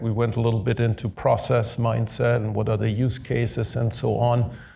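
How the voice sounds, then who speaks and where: In a German accent, a man speaks at a moderate pace and medium pitch with vocal fry. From Germany. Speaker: podcast host, tech executive. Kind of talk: live panel discussion.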